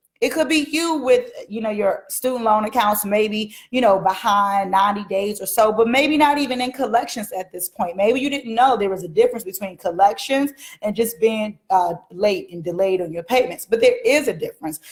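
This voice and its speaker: An animated woman with an American accent talks at a fairly high pitch, somewhat breathy, with lively intonation and hardly any pauses. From Washington DC. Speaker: mortgage educator, livestream host. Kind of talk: live stream talk to viewers. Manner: fast.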